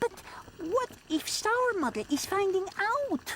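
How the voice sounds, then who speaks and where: A cartoonish character voice at an extremely high pitch and a fairly slow pace, with clear background noise. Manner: broken grammar, foreign-sounding.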